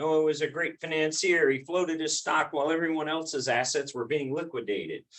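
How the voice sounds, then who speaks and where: A loud, fairly quick man's voice, fairly high in pitch, with a bright, sharp tone. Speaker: church class teacher. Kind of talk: lecture. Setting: classroom.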